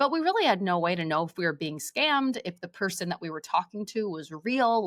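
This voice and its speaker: A woman at a fairly quick pace, the sound dry and close with no echo. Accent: New Jersey. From New Jersey, USA. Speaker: voice actor. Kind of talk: interview answer.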